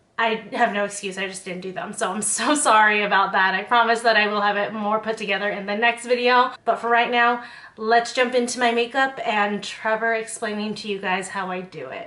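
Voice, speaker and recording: Through noticeable background noise, a woman speaks at a fairly quick pace with a fairly high pitch. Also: fairly even intonation. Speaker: beauty and lifestyle content creator. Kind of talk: casual talk to camera.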